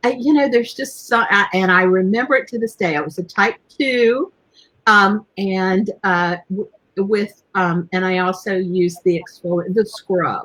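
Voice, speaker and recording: In a plain, everyday voice, a woman speaks at a fairly slow pace with medium pitch and ordinary pitch variation. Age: 60s. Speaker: beauty and skincare show host. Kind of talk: live stream casual chat.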